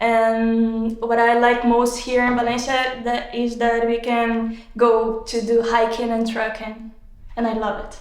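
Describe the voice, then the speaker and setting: Speaking with a Portuguese accent, a woman keeps a fairly slow pace and a fairly high pitch, her intonation monotone and flat. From Brazil. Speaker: exam candidate. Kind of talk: speaking exam. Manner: halting.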